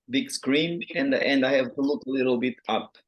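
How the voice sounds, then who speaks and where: A man with a Portuguese accent speaks at a moderate pace. His pitch is fairly high, with ordinary variation. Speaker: writer. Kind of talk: interview. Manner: halting.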